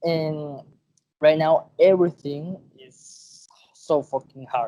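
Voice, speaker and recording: A man with a Venezuelan accent speaks very slowly in a fairly high voice with fairly even intonation. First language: Spanish. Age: 20s. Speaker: podcast guest. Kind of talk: casual chat.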